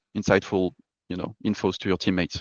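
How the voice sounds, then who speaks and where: A man speaks at a very fast pace with fairly even intonation. His pitch sits fairly low. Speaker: performance psychologist. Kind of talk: lecture.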